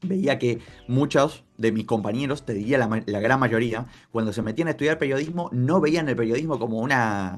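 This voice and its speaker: A man's speech proceeds at a moderate pace while music plays in the background. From Argentina. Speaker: football journalist and content creator. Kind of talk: interview answer.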